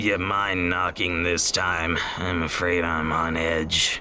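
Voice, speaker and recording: A man talks at a fairly slow pace in a put-on character voice, his pitch very deep and low. Background noise is clearly audible. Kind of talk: noir detective voice-over. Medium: audio drama. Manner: gruff, curt, sarcastic.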